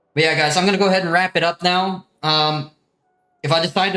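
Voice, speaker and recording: A man with an American accent talks at a very fast pace. His intonation is fairly even. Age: 20s. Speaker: gaming streamer. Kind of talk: casual live stream chat. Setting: live stream. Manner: casual.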